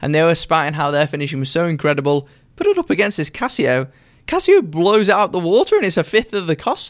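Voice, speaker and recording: Very fast delivery with a British accent and ordinary pitch variation. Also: man, high pitch for a man. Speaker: watch reviewer YouTuber. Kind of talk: casual chat.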